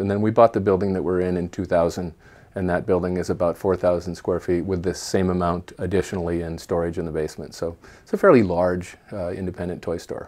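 In a Pacific Northwest accent, a man speaks at a fairly quick pace with a very deep, low pitch. His intonation is monotone and flat against a quiet background. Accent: Pacific Northwest American. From US Pacific Northwest, Portland, Oregon; Oregon. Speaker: toy store owner, former science teacher; former science teacher. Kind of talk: interview monologue. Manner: halting. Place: home room. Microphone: webcam.

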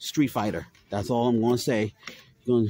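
This man's voice has a dark, mellow tone at a moderate pace. The sound is dry with no echo. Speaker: toy channel host. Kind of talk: angry rant, profane store-aisle vlog rant. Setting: in a store, filming vlog. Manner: loud, furious, cursing, exasperated; repetitive, stammering, catchphrase-heavy. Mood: annoyed, ranting. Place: shop. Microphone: phone near.

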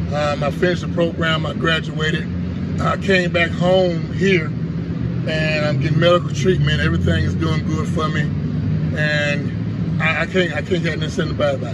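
A man talks at a moderate pace while loud background noise carries on. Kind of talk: interview answer. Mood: grateful, earnest. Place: street. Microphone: camera far.

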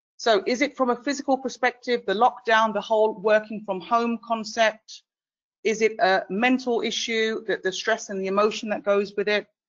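A woman speaks with a British accent at a fairly high pitch. Her intonation is fairly even and her pace moderate. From UK. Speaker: webinar moderator. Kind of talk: panel discussion moderation. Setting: online webinar.

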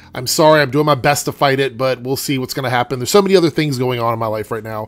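Nasal male voice, medium in pitch, fast in pace, with ordinary pitch variation

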